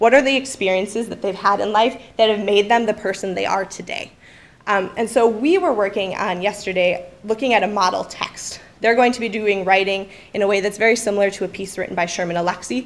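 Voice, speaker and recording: A woman of medium pitch talks at a fairly quick pace with fairly even intonation. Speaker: high school English teacher. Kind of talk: presentation to an audience. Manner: fast.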